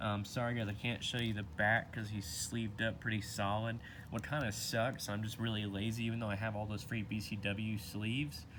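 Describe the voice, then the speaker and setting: The speech moves at a fairly quick pace with hardly any pauses and fairly even intonation, and audible room echo is present. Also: man, fairly low pitch for a man. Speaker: trading card collector YouTuber. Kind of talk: casual video talk. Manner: fast.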